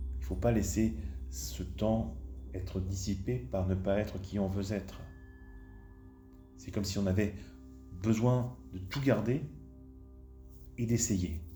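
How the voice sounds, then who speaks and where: Over music in the background, the speaker talks in a calm tone at a very slow pace, with long, frequent pauses and very wide pitch swings. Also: man, very deep, low pitch for a man. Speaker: hypnotherapist. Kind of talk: guided hypnosis session. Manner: slow, calm.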